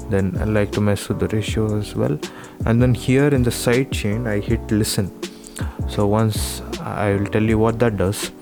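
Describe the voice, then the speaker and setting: Soft-spoken over music in the background, a man talks at a moderate pace with a fairly low pitch and very wide pitch swings. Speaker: gaming video creator. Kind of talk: software tutorial narration.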